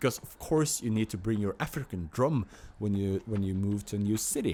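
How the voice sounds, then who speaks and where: In a Norwegian accent, a man speaks at a moderate pace with a dark, mellow tone. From Norway, Oslo. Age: 30s. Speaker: vlogger. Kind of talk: casual vlog monologue. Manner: halting, many fillers and repeats.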